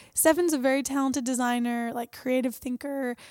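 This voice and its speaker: A woman talks at a high pitch. Her intonation is monotone and flat. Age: 20s. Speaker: startup co-founder and CEO. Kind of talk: casual chat.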